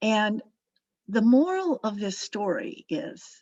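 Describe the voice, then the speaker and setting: An ordinary speaking voice with lively intonation. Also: woman. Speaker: meditation guide. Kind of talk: spiritual talk to a meditation circle.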